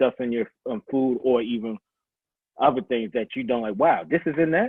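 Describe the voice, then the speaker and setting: A man with a Baltimore accent, medium in pitch, at a fairly quick pace with lively intonation. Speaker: fitness coach. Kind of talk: casual interview. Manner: halting, many restarts.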